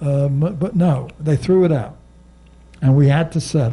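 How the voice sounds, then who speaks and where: A man's fairly high voice carries a dark, mellow tone, is somewhat breathy, and shows ordinary pitch variation. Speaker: civil rights lawyer. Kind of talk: panel talk to audience. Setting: bookstore stage with audience. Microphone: handheld.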